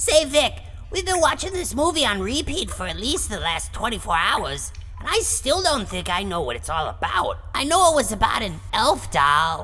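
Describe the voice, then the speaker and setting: A woman's cartoonish character voice at a moderate pace, with clear background noise. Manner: questioning, bemused.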